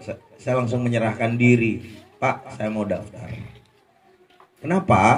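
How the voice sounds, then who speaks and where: The words come out very slowly. Music is playing in the background. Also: man. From Madura, Indonesia. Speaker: former street food vendor sharing testimony. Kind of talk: testimony. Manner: casual, conversational.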